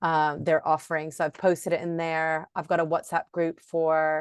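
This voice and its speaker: With an American accent, a woman talks in a fairly low, monotone, flat voice, recorded dry and close with no echo against a quiet background. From Florida, US. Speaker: yoga teacher. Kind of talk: casual chat, getting feedback. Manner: casual, many fillers like 'um' and 'like'.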